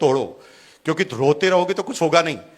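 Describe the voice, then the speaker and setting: With ordinary pitch variation, a male speaker's voice sits high in pitch. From Rajasthan, India (Bhilwara). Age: 50s. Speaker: businessman, motivational speaker. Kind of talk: motivational speech. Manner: animated.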